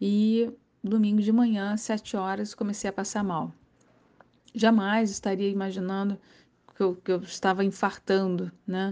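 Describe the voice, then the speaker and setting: A woman's dark, mellow, monotone voice at a fairly slow pace, with long, frequent pauses, over a quiet background. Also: medium pitch for a woman. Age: 50s. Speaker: former surfer and athlete. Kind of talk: personal testimony and health advice. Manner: casual, with many filler words.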